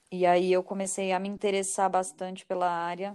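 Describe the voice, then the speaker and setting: A woman talks at medium pitch and a moderate pace in an unremarkable speaking voice, on a very clean recording with a silent background. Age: 30s. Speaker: psychology graduate, HR professional. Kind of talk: casual chat.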